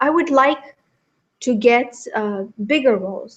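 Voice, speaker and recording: A woman with a Romanian accent. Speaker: actress. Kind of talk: interview.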